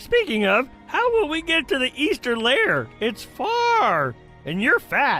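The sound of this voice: A high-pitched, cartoonish character voice speaks at a fairly slow pace over faint background music.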